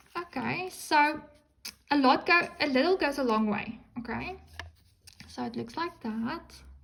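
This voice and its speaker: Speaking fairly slowly, a woman uses an animated tone and lively intonation at a high pitch. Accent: non-native. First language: not English. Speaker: crafting YouTuber. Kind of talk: unboxing video. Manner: hesitant, many ums.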